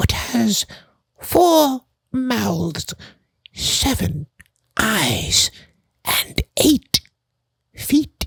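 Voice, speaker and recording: A put-on character voice at a very slow pace, with long, frequent pauses. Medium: read story. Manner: archaic, formal, theatrical.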